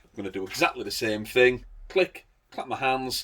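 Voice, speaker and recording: The speaker has an English accent and lively intonation. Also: man. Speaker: CCTV installer reviewing products. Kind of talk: product demonstration tutorial. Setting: at home, garden. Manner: casual, chatty.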